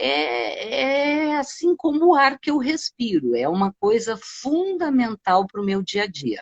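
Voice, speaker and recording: A woman speaks at a high pitch and a very slow pace, with very wide pitch swings and hardly any pauses. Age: 60s. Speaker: gym client. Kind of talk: interview.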